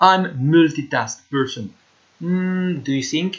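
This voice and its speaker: Speaking in a French accent, a man goes at a very slow pace with a high pitch and ordinary pitch variation. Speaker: teacher. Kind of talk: lecture. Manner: halting, many fillers.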